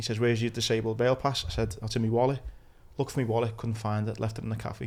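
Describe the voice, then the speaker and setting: A medium-pitched man with a Liverpool accent and monotone, flat intonation. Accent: Scouse (Liverpool). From Liverpool, England. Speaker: podcast host, injured war veteran. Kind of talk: casual interview chat.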